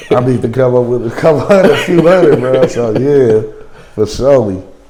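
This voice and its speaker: Lively in intonation and medium in pitch, a man with an American accent speaks amid noticeable background noise and audible room echo. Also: fairly quick pace. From California. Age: 40s. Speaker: interviewee, recovering gambling addict. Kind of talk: documentary interview. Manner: casual, slangy.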